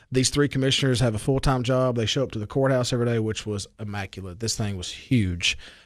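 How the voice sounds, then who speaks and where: Over a quiet background, a man with a Southern US accent talks at a very fast pace with hardly any pauses, his medium-pitched voice showing ordinary pitch variation. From Baxter, Tennessee. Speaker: radio host. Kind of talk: radio interview. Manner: chatty, friendly.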